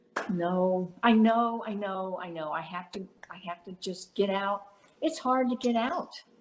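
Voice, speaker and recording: A woman speaks at a medium pitch and a fairly slow pace, with ordinary pitch variation. Noticeable background noise runs underneath. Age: 70s. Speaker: workshop participant. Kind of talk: casual chat.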